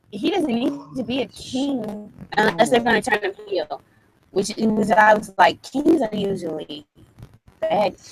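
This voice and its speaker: The speaker has an American accent and a fairly slow pace, with long, frequent pauses. The intonation is lively. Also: woman, fairly high pitch for a woman. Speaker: wrestling podcast co-host. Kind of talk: casual chat.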